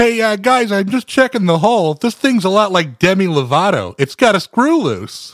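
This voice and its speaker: Putting on a character voice, a man talks high for his sex at a moderate pace with very wide pitch swings and hardly any pauses, the sound dry and close with no echo. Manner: jokey.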